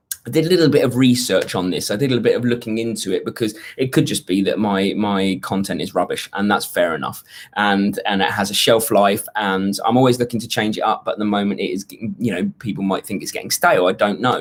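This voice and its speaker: A man speaks very fast in a British accent. He leaves hardly any pauses. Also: ordinary pitch variation. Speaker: YouTube fitness coach. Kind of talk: live stream Q&A. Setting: hotel room on holiday. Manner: quieter than usual, voice kept down.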